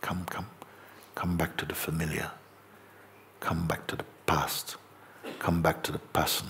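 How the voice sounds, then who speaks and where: A man does a raspy, put-on character voice with a very deep, low pitch. His pace is moderate. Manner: hissing.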